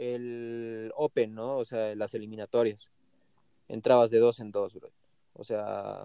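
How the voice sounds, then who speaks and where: At a very slow pace, a man with a dark, mellow tone speaks in a monotone, flat way, his loudness swinging widely in a dry, close sound with no echo. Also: medium pitch for a man. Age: 20s. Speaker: professional skateboarder. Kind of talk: interview.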